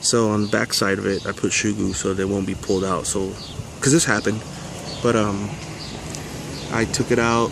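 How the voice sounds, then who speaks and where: Over noticeable background noise, a man talks at a moderate pace in a relaxed tone. His fairly low voice stays monotone and flat. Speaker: RC crawler hobbyist. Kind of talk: casual talk to camera. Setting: outdoors. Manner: relaxed, rambling.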